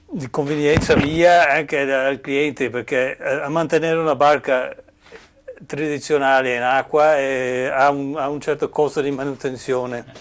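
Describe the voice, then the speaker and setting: Speaking fairly slowly in a fairly high pitch, a man keeps a monotone, flat intonation over noticeable background noise. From Cornwall, England. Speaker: boat builder, carpenter. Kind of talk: workshop tour explanation. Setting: boatbuilding workshop. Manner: halting, many fillers and restarts.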